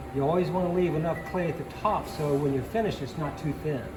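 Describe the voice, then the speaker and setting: Music plays behind a man with a Southern US accent whose fairly high voice shows ordinary pitch variation, and the room echo is audible. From Virginia. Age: 60s. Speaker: potter. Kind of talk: demonstration. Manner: halting.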